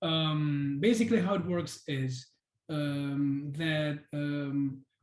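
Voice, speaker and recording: The speaker talks at a very slow pace with a Spanish accent. The pitch variation is ordinary. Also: man, fairly high pitch for a man. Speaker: webinar presenter. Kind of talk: software demo webinar. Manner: hesitant, many fillers.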